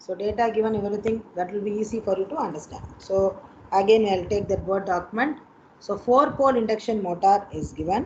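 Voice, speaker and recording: A normal speaking voice, fairly quick in pace, its pitch varying in an ordinary way. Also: woman, medium pitch for a woman. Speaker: college teacher. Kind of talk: online lecture.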